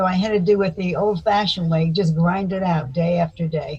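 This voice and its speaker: Fairly low-pitched, somewhat breathy woman in an American accent, with fairly even intonation and a fairly quick pace. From US South (Florida, Miami Beach). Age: 80s+. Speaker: psychotherapist and speaker. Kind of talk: interview.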